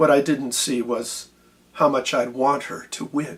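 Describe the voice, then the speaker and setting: Doing a put-on character voice, a man sounds raspy at a fairly high pitch, speaking at a moderate pace with fairly even intonation. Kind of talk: dramatic narrative poetry reading. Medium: solo performance. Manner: measured, introspective, wry.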